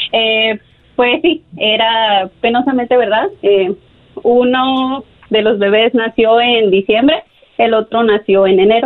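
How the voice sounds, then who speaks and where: A woman with a fairly high pitch speaks at a very slow pace, with very even loudness and ordinary pitch variation. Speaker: caller. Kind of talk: testimony.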